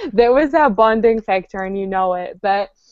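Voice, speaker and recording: This woman's voice sits at a fairly high pitch. Her pitch variation is ordinary. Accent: New Zealand. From New Zealand. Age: 20s. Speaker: podcast co-host. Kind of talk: casual chat. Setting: video call.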